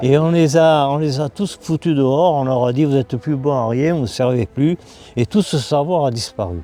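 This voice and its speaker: A man speaks at a moderate pace with a dark, mellow tone and ordinary pitch variation. He hardly pauses, and the sound is dry and close with no echo. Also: fairly high pitch for a man. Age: 80s+. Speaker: stone engraver and author. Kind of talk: interview storytelling.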